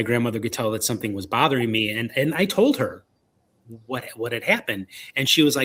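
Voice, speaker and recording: A man with a Chicago accent speaks at a medium pitch in a bright, sharp tone. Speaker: paranormal investigator and author. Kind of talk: interview. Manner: halting, many fillers and repeats.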